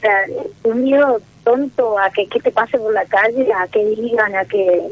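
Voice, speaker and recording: A woman speaks at a fairly slow pace over noticeable background noise. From Misiones, Argentina. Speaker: caller. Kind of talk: personal call-in talk. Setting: phone call.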